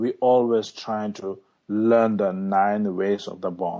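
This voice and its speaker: A man speaks with a Tibetan accent. His pitch is fairly low. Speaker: Tibetan lama, meditation teacher. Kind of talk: interview. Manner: halting.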